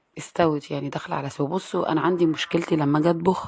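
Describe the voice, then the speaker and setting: Someone with an Egyptian accent speaks at a fairly quick pace with ordinary pitch variation. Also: woman. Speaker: home vlogger, mother. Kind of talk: casual vlog narration. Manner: casual, conversational.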